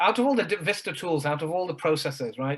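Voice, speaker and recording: The speaker uses a normal speaking voice at a fairly quick pace. Pitch varies in an ordinary way. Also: man. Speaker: productivity coach. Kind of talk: interview questions.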